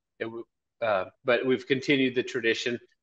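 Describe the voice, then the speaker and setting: At a fairly quick pace, a man gets his words out. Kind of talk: interview answer. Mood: warm, enthusiastic. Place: office. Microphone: video call.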